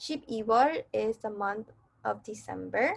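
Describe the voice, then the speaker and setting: A woman with a plain, everyday voice speaks at a fairly slow pace in a fairly high pitch. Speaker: Korean language teacher. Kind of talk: online lesson tutorial. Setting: pre-recorded virtual class video.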